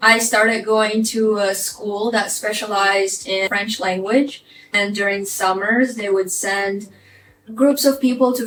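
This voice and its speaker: A woman speaks at a medium pitch, fairly slowly and with fairly even intonation. Noticeable background noise can be heard behind her. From Ukraine. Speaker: vlogger. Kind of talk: personal life story vlog.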